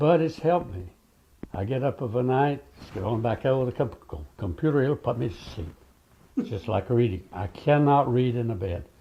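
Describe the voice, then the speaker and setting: Somewhat breathy and pitched at a medium level, a man speaks at a moderate pace with lively intonation. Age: 90s. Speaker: WWII veteran. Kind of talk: interview.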